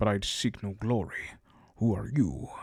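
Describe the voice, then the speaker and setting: A man speaks in a put-on character voice. His pitch sits fairly low, and his pace is moderate. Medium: virtual streamer. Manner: wary, blunt.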